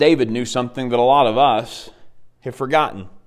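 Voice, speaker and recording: A man speaks with an Arkansas accent. His pace is moderate. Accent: US Southern (Arkansas). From Arkansas (Dardanelle). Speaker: campus minister preaching as guest. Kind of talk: sermon. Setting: church.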